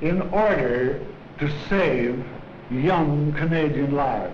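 A man speaks with ordinary pitch variation. Light background noise and audible room echo surround his voice. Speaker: army officer giving a speech. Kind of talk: formal wartime speech appealing for war bonds. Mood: earnest, solemn. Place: office. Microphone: podium.

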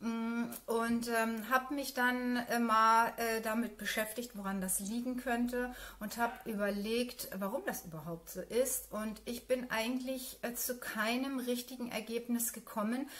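A woman speaks at a fairly slow pace in a fairly high, fairly bright voice with fairly even intonation.

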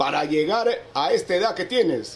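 Moderate pace, lively intonation, and a man's high-pitched voice. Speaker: local video host, interviewer. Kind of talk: interview questions.

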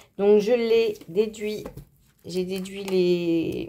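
Dark, mellow tone from a woman. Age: 30s. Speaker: budgeting YouTuber; budget vlogger. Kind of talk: casual vlog tutorial. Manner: halting, many fillers. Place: home room. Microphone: phone near.

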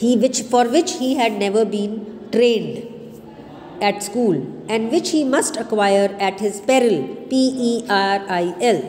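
Speaking at a very slow pace, a woman with a fairly high pitch uses lively intonation and very even loudness over noticeable background noise. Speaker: college English teacher. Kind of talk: lecture. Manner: explanatory, asks students questions.

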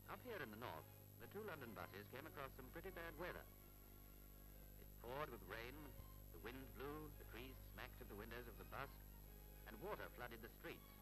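Clear music plays in the background. A man speaks over it at a fairly quick pace. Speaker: documentary narrator. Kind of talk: commentary.

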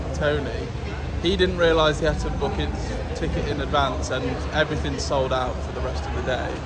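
A man speaks at a moderate pace. Loud background noise runs underneath. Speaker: travel vlogger. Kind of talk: casual vlog chat. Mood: relaxed, upbeat. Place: station. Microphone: phone near.

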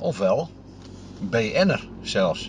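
A man's voice comes through with light background noise. The sound is dry, with no echo. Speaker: interviewer and driver. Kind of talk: casual talk to camera. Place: car. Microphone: camera far.

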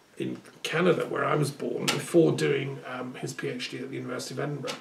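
Over noticeable background noise, a man talks at a very fast pace with big swings in loudness. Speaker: speaker. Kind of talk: monologue address, reminiscence. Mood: earnest, reflective. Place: home room. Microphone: camera far.

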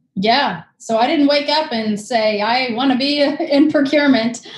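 A woman's high-pitched voice with ordinary pitch variation, at a fairly slow pace, with audible room echo and a quiet background. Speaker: guest. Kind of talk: interview answer. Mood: relaxed, friendly. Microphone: video call.

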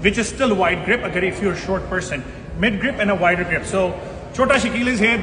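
A man talks very fast in a raised, projected voice with ordinary pitch variation. Noticeable background noise runs underneath. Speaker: fitness trainer. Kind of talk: tutorial. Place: gym. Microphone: phone near.

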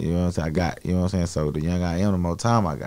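A man with an American accent speaks in a very deep, low voice with a dark, mellow tone. His pitch varies in an ordinary way, and the background is quiet. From Dallas, Texas; Texas. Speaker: rapper; guest. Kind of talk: interview; interview answer. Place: studio. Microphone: studio mic.

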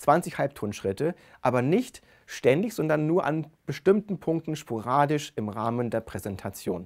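Pitched fairly high, a man speaks at a moderate pace with very wide pitch swings. The background is quiet. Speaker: speech researcher; presenter. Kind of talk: lecture. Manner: expressive intonation. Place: studio. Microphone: lapel.

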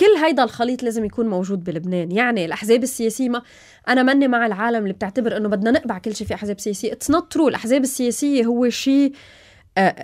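A woman talks at a very fast pace in a fairly high pitch. Her pitch varies in an ordinary way, and the background is quiet. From Lebanon, mountain region. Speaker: TV news anchor and interviewer; TV news anchor, interviewer. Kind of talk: interview. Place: studio. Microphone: studio mic.

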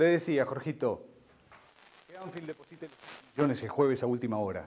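A man's voice with vocal fry. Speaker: stage actor playing a scheming businessman. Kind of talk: theatrical monologue on a phone. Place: stage.

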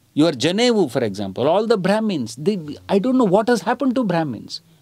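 The man's voice has a dark, mellow tone and very wide pitch swings. Behind him the background is quiet. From India. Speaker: theatre director and activist; interviewee. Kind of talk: interview answer. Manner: soft-spoken. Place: home room.

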